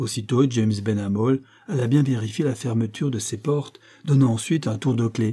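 The reading aloud is plain, and the pitch varies in an ordinary way.

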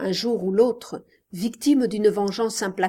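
Quiet background and a natural reading voice

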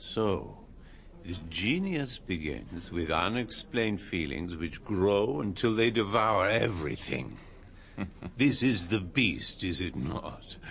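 This put-on character voice moves slowly, with a fairly bright tone, big pitch swings and vocal fry. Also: man, low pitch for a man.

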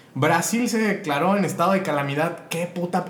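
A man's voice shows ordinary pitch variation. Noticeable background noise and audible room echo surround it. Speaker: podcast co-host. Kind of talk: casual chat. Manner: animated.

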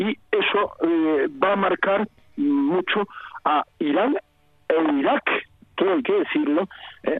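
Through noticeable background noise, a man speaks at a very slow pace with very wide pitch swings. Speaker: historian and emeritus professor. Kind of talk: interview. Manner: halting.

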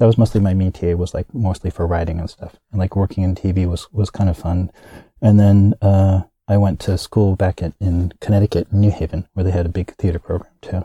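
A man with a very deep, low voice and a dark, mellow tone talks fairly quickly in a flat monotone, somewhat breathy, in a very clean recording with a silent background and a dry, close sound with no echo. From US, military family (Kansas, Hawaii). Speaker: actor and comedy performer. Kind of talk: interview. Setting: studio.

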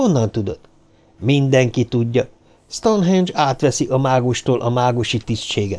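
The speaker does plain reading aloud with lively intonation.

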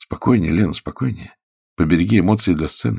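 A man's low, put-on character voice at a fairly quick pace, slightly mellow in tone, with vocal fry and a slightly husky edge, on a very clean recording with a silent background. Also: ordinary pitch variation.

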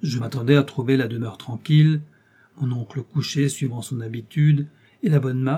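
The voice reads aloud. It sounds natural.

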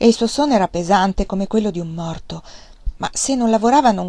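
Lively intonation in a natural voice for reading

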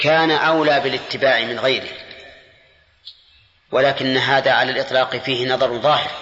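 A man talks at a fairly quick pace with a bright, sharp tone and fairly even intonation. Room echo is audible. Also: medium pitch for a man.

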